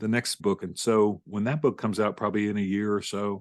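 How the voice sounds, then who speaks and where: At a fairly quick pace, a man with an ordinary speaking voice and a fairly low pitch speaks in a dry, close sound with no echo against a quiet background. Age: 60s. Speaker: author and former pastor. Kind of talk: interview conversation.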